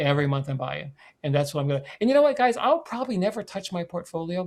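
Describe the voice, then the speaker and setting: A man speaks at a very fast pace with lively intonation. The recording is very clean, with a silent background. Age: 70s. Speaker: author and investor. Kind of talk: podcast interview. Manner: repetitive stammering restarts; animated.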